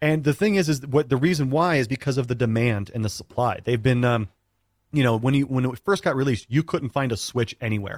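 Using a plain, everyday voice at a medium pitch, a man talks at a fairly quick pace in a very clean recording with a silent background and a dry, close sound with no echo. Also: ordinary pitch variation, very even loudness. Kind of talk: radio co-host banter, upbeat segment-break patter. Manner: bright, punchy, jokey, chatty, broadcast-smooth.

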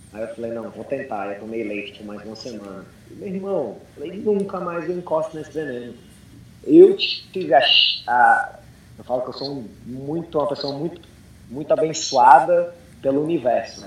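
A man with a fairly high pitch speaks at a moderate pace, with lively intonation and big swings in loudness. Audible room echo and noticeable background noise fill the recording. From Brazil and United States. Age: 30s. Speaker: CrossFit coach. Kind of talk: casual chat.

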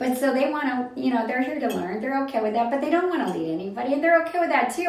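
With very wide pitch swings, a woman's high voice comes through audible room echo and noticeable background noise. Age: 60s. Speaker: guest commentator on a secret organization. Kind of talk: casual chat.

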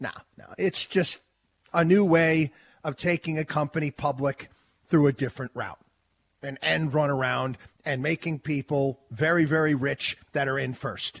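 Somewhat breathy and animated, a man speaks at a fairly high pitch in a dry, close recording with no echo. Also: moderate pace.

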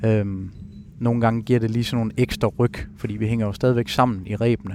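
The man's voice sits at medium pitch with intonation that stays fairly even. He moves along at a fairly quick speed. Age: 30s. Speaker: avalanche survivor and speaker. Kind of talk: personal testimony. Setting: ski shop.

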